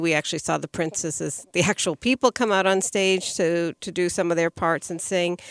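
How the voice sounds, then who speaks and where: A woman talks at a moderate pace in a fairly low pitch, with an ordinary speaking voice. The sound is dry and close, with no echo. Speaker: podcast co-host. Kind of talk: casual chat.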